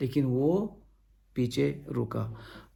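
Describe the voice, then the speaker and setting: Audible room echo surrounds a voice with a dark, mellow tone. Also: man. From India (Goa). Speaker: pastor. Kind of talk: sermon. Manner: halting.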